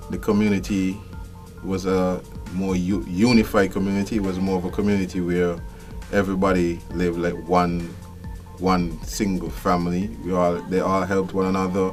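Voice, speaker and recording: With music in the background, a voice in a Kittitian accent speaks at a moderate pace with fairly even intonation. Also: man, very deep, low pitch for a man. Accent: Kittitian Caribbean English. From Saint Kitts. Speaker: customs official. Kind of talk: interview answer.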